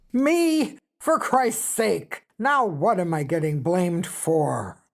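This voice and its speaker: Using a put-on character voice, a woman speaks raspily at a very slow pace in a medium pitch. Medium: read story. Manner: coarse, blunt, ungrammatical.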